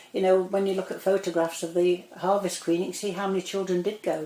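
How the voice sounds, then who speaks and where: A woman speaks at a medium pitch in a monotone, flat intonation. Noticeable background noise runs behind her. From northern England, Greater Manchester (Cheshire side). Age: 70s. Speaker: local resident interviewee. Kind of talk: oral history interview. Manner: conversational, hesitant with fillers.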